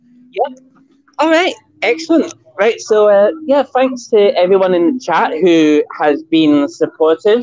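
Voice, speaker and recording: A speaker with a Scottish accent talks at a fairly slow pace, pitch swinging very widely while loudness stays very even. Music plays in the background. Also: man, high pitch for a man. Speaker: guest on feminism talk show. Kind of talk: casual chat. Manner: halting.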